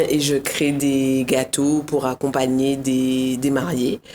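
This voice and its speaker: A very deep, low woman's voice with a Guadeloupean accent amid noticeable background noise. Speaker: cake designer. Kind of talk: casual interview chat.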